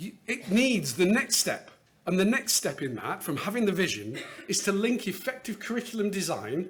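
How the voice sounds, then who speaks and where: A British accent with ordinary pitch variation. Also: man. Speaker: education finance consultant presenter. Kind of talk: conference talk. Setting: stage with audience. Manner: fast.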